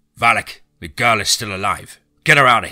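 A man does a put-on character voice, raspy and raised to project. He keeps a moderate pace. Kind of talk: harsh. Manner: harsh, commanding.

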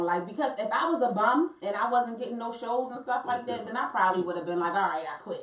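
At a very fast pace and with lively intonation, the speaker talks in an American accent over a quiet background with audible room echo. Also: woman, fairly high pitch for a woman. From Baltimore, US. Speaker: singer and reality TV personality. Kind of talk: casual chat. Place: studio.

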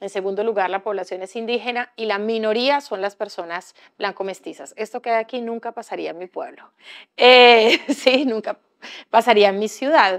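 Delivered at a moderate pace, the speech has ordinary pitch variation and big swings in loudness. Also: woman, fairly high pitch for a woman, quiet background. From Colombia, Bahía Solano (Chocó); Chocó, Colombia. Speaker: writer and activist; speaker. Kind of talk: panel discussion. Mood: calm, reflective. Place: hall. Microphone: lapel.

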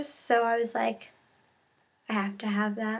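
The voice heard is a woman's. She talks at a fairly slow pace. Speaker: haul vlogger. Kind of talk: casual vlog chat. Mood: cheerful, enthusiastic. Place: home room. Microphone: webcam.

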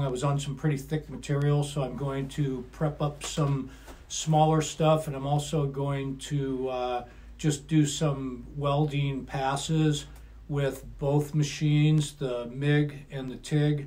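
Somewhat breathy and monotone, a man speaks at a fairly slow pace with flat intonation. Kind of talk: casual vlog chat. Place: garage. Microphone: camera far.

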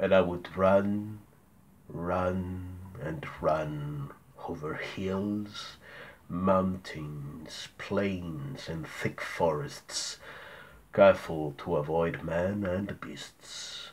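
A man puts on a character voice with a very deep, low pitch. He speaks at a very slow pace, his loudness swinging widely. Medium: read story.

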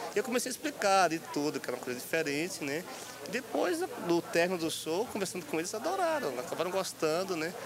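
A man's high-pitched voice, lively in intonation and fairly quick in pace, dry with no echo, over noticeable background noise. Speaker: interviewee. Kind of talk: interview answer, street interview. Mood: cheerful, smiling. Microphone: old recording.

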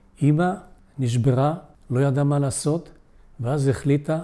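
This man's voice has a dark, mellow tone, ordinary pitch variation and a moderate pace. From Israel, immigrated from Poland at age 7. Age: 80s+. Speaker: Holocaust survivor. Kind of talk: testimony. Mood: solemn, reflective. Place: home room. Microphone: lapel.

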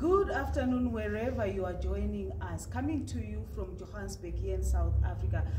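Noticeable background noise sits behind a woman with a very deep, low pitch. She talks at a moderate pace with lively intonation and hardly any pauses. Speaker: news interviewer. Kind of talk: interview host talk. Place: studio.

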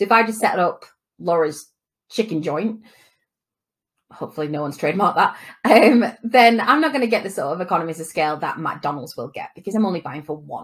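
Very fast, somewhat breathy speech with big swings in loudness. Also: woman. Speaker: business course tutor. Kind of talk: lecture. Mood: friendly, lightly humorous.

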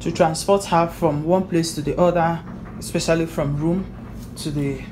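A woman at a fairly low pitch and moderate pace, fairly even intonation, music in the background. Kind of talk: casual vlog chat. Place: bathroom. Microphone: phone near.

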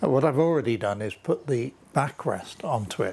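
The voice is somewhat breathy. The pace is moderate. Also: man. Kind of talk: tutorial. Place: garage. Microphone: lapel.

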